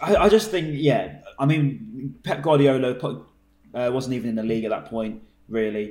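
A man with a plain, everyday voice speaks at a medium pitch. His intonation is lively and his pace moderate. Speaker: podcast host. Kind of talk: casual chat.

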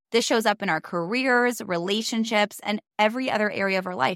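With ordinary variation in her pitch, this woman's voice sits at a medium level. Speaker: podcast host. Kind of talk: casual chat. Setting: studio, in person.

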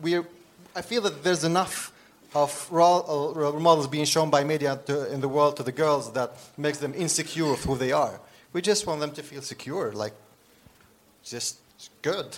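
At a moderate pace with long, frequent pauses, a man with an Arabic accent speaks at a fairly high pitch with ordinary pitch variation. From Syria. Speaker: author and social entrepreneur. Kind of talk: live interview. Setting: stage with audience. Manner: laughs often.

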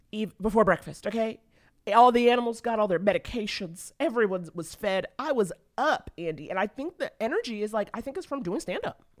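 A woman speaks in an ordinary speaking voice. Her pitch is fairly high, and her pace is fairly quick. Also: lively intonation. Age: 40s. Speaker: comedian and podcast host. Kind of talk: casual chat.

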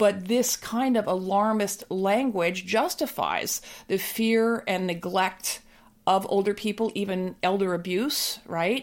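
On a very clean recording with a silent background, a woman talks at a very slow pace, her medium pitch showing ordinary variation. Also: very even loudness. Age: 60s. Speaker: anti-ageism activist and author. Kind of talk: interview conversation. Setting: recorded at her home.

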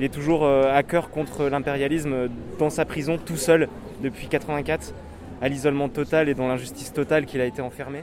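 A man's fairly high voice with fairly even intonation over noticeable background noise. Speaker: activist. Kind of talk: street interview. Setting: outdoors. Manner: fast, casual.

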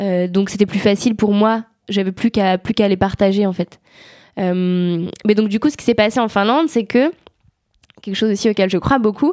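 A woman's medium-pitched voice with ordinary pitch variation at a moderate pace, dry and close with no echo, on a very clean recording with a silent background. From France, Savoie. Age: 20s. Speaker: climate activist. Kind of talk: interview. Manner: animated.

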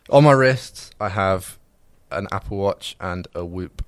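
In a very clean recording with a silent background, a man with a southern English accent speaks in a very deep, low pitch with ordinary pitch variation. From England (Reading). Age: 20s. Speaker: videographer at a production company. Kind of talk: casual chat.

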